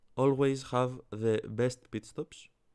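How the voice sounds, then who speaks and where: With a Greek accent, a man of medium pitch talks at a very slow pace. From Greece. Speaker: fantasy sports YouTuber. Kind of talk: casual commentary vlog. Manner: halting, many fillers.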